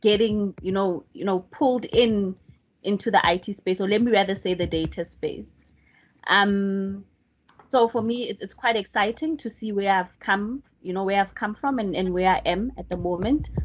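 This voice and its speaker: Speaking at a moderate pace in a plain, everyday voice, a woman of medium pitch shows ordinary pitch variation. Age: young. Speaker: data professional. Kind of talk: panel self-introduction.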